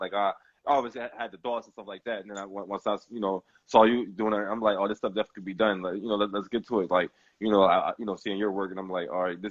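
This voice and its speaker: A man speaks at a very fast pace with a fairly low voice. His intonation stays fairly even. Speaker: sports podcast host. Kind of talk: casual chat. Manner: loud; halting, many repetitions.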